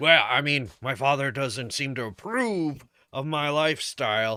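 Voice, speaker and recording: A man speaks in a put-on character voice that sounds raspy. His pace is moderate. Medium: actual play. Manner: hesitant, halting.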